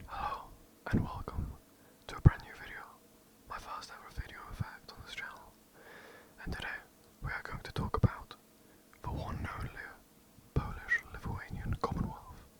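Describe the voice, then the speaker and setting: Someone whispers at a moderate pace, leaving long, frequent pauses, over noticeable background noise. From England. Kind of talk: ASMR history narration. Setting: home recording, poor mic. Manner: whispered; hesitant, some stutters.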